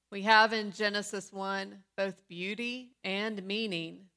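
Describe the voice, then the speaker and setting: A woman speaks at medium pitch with a bright, sharp tone and fairly even intonation. Her pace is very slow, and the recording is very clean with a silent background. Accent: American. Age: 50s. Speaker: pastor. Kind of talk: sermon.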